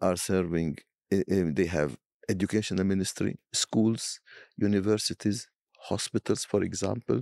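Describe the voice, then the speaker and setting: In an Arabic accent, a man talks at a fairly slow pace with a fairly low pitch and a dark, mellow tone. The recording is very clean with a silent background and a dry, close sound with no echo. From Palestine. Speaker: bishop. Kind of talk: interview.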